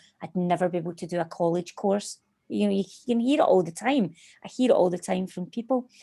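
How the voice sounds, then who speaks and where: Here a woman talks with a Scottish accent at a fairly quick pace. Her tone is dark and mellow. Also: very clean recording, silent background. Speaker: hypnotherapist and life coach. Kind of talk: interview conversation.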